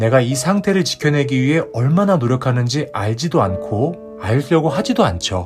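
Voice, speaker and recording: Music in the background behind a man's medium-pitched voice, moderate pace and very wide pitch swings. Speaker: counselor and advice channel host. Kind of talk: advice and consolation talk to listener. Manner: warm, soothing, encouraging.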